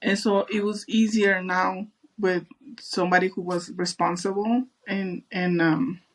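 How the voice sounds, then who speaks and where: A woman with a strong Mexican accent, her pitch medium, her intonation fairly even, her pace fairly slow. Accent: thick Mexican Spanish. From Mexico. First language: Spanish. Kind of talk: casual interview.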